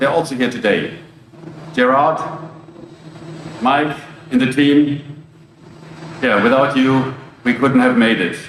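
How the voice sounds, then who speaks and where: Amid noticeable background noise and audible room echo, a man with a German accent speaks at a medium pitch and a fairly slow pace, his intonation fairly even, with long, frequent pauses. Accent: foreign accent (German). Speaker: logistics company executive. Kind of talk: ceremony speech.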